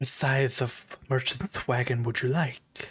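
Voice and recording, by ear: Using a hissing put-on character voice, a man speaks at a medium pitch and a fairly slow pace.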